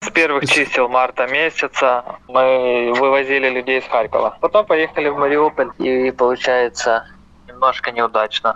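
A man speaks at a moderate pace with a medium pitch and fairly even intonation. He has an ordinary speaking voice. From Ukraine. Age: 20s. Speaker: volunteer, former prisoner of war. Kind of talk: interview testimony.

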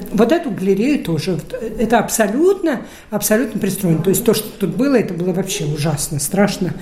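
Lively intonation carries through at a fairly quick pace, with audible room echo and noticeable background noise. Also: woman, medium pitch for a woman. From Russia, Saint Petersburg. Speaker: gallery owner. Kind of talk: interview. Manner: halting.

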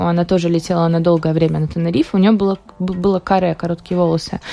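A woman at a very fast pace, her pitch medium, with music in the background. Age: young. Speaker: hairdresser and beauty salon owner. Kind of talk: radio interview. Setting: radio studio.

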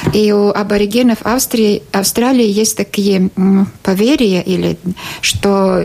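Noticeable background noise behind a fairly high female voice with ordinary pitch variation. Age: 50s. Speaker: journalist and TV presenter. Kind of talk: casual interview. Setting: studio. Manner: halting.

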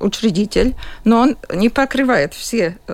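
Speaking fairly slowly with lively intonation, a woman uses a fairly high pitch in a Latvian accent. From Latvia, Jurmala. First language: Latvian (speaking Russian). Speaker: school principal. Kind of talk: radio interview. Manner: halting.

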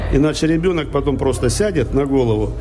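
Amid audible room echo and noticeable background noise, a man talks at a fairly quick pace. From Russia, Volgograd. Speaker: chanson singer. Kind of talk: interview. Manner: conversational.

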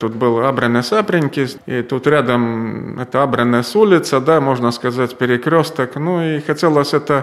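At a moderate pace, a man speaks in an ordinary speaking voice at medium pitch with ordinary pitch variation. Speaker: local museum creator. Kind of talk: guided tour.

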